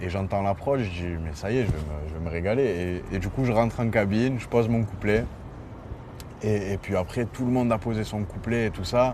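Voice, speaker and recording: The pace is moderate. Pitch variation is ordinary. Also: man, fairly low pitch for a man. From Marseille, southern France. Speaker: rapper. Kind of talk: interview. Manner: hesitant, many fillers; animated storytelling.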